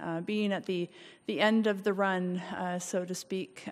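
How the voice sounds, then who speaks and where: Fairly slow, fairly even speech from a woman over a quiet background. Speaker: speaker. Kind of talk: formal testimony at a public meeting. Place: hall. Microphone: podium.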